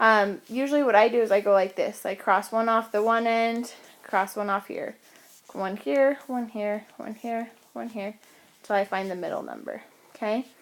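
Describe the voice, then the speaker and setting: At a moderate pace, a woman talks in an ordinary speaking voice with fairly even intonation. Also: fairly high pitch for a woman. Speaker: math teacher. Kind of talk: tutorial.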